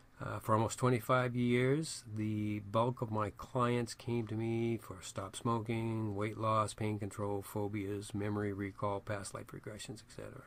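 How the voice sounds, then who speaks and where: Fairly low-pitched male speech in a New England accent, monotone and flat, at a fairly slow pace with hardly any pauses. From Maine, US. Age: 70s. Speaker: astrologer and psychic reader. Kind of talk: self-promotional monologue.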